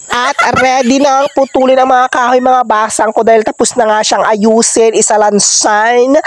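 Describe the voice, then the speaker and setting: An animated, playful tone carries the speech at a moderate pace with hardly any pauses. Noticeable background noise can be heard. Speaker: vlogger. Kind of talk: casual vlog narration.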